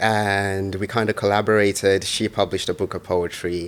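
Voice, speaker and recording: This man has a very deep, low voice and speaks at a moderate pace. He talks with a Birmingham accent. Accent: Birmingham-tinged, he dislikes his. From Zimbabwe, moved to Birmingham at fifteen. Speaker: poet and author. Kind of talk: interview. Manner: halting, many fillers and repetitions.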